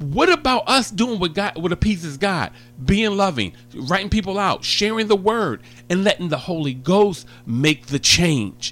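A man talks in a high pitch with an animated, warm tone. His intonation is lively, and music plays in the background. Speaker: gospel radio host. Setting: studio. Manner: animated, exuberant, warm and joking, rapid-fire enthusiastic ad-libs.

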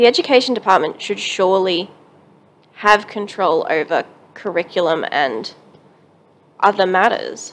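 With an Australian accent, a woman at medium pitch speaks with long, frequent pauses. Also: ordinary pitch variation, moderate pace. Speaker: podcast co-host. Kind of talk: casual chat.

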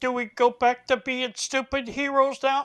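A woman speaks in a high, put-on character voice with flat, monotone intonation. Her pace is moderate. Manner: dim-witted, heroic.

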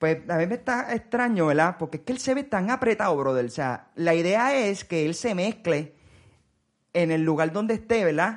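His intonation is lively. This man speaks with a high pitch. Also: moderate pace. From Puerto Rico. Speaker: podcast host. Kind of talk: casual chat.

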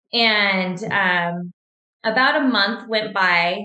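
With a plain, everyday voice, a woman with an American accent speaks at medium pitch with fairly even intonation. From Washington State, US. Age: 40s. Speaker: cancer survivor and triathlete. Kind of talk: interview testimony.

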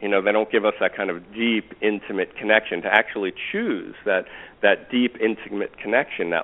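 A man speaks with a fairly low pitch. He keeps a moderate pace. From New York. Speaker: relationship teacher. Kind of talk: interview. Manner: halting.

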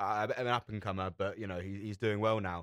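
Very fast and fairly low, a man's voice comes through dry and close with no echo in a very clean recording with a silent background. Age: 20s. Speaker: radio show co-host. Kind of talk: casual chat.

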